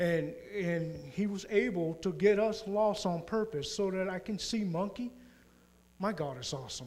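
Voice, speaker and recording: Amid audible room echo, a man speaks at a high pitch and moderate pace with ordinary pitch variation. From Puerto Rico. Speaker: mission trip member. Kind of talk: church presentation testimony.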